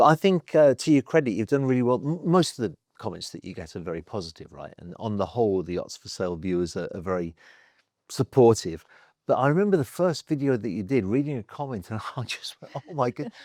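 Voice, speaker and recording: Speaking very fast, a man swings widely in pitch and loudness, recorded dry and close with no echo in a very clean recording with a silent background. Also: medium pitch for a man. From England, Birmingham. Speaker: yacht broker. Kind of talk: casual chat.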